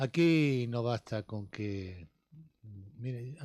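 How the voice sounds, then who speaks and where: On a very clean recording with a silent background, a man speaks in a somewhat breathy voice with a dark, mellow tone and ordinary pitch variation. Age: 70s. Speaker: sports pundit, former local politician. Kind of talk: radio sports talk panel.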